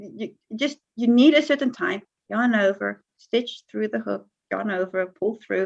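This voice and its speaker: Pitch varies in an ordinary way as the speaker goes along at a fairly slow pace. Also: woman. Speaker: crochet blogger and tutorial maker. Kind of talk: interview. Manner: repeats words, hesitant starts.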